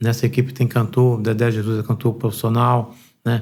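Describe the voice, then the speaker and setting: A man's dark, mellow, somewhat breathy voice at a medium pitch and moderate pace, in a monotone, flat intonation. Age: 60s. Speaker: pastor. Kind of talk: podcast interview.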